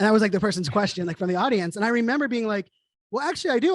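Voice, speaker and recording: In an energetic tone, a man speaks with a high pitch and ordinary pitch variation. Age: 40s. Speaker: keynote speaker and digital futurist. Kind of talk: interview conversation. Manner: fast.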